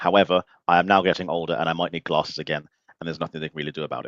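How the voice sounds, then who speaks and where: With a very deep, low pitch and fairly even intonation, a man talks at a very fast pace in a dry, close sound with no echo. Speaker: podcast host. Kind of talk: casual chat.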